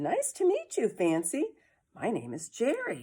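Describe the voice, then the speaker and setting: A woman puts on a character voice, pitched fairly high and delivered at a fairly slow pace. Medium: read story. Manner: kind, welcoming.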